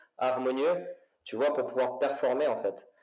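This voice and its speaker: There is audible room echo as a man speaks fairly slowly. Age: 40s. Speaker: fitness coach and former footballer. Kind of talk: casual interview. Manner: hesitant with repetitions.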